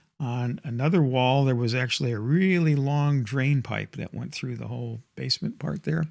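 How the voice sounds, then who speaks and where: A plain, everyday voice moves at a moderate pace on a very clean recording with a silent background. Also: man. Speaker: grandfather. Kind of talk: nostalgic storytelling to camera.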